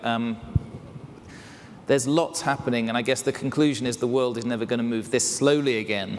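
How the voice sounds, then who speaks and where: A man with an English accent, medium pitch and fairly even intonation, amid noticeable background noise and audible room echo. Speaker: keynote speaker. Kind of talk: keynote talk. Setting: stage with audience.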